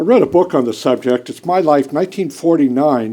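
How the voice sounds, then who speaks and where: At a moderate pace, a man with a fairly high pitch speaks in a dark, mellow tone with ordinary pitch variation. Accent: western Pennsylvania. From Pennsylvania, US (Pennsylvania Dutch country). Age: 70s. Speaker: political talk host and activist. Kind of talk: political speech.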